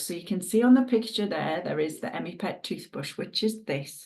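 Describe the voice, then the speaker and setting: With a Northumbrian accent, a woman talks at a fairly quick pace. Her pitch swings very widely. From northern England, Northumberland. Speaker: dog groomer and product distributor. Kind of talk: sales presentation. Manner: casual, chatty.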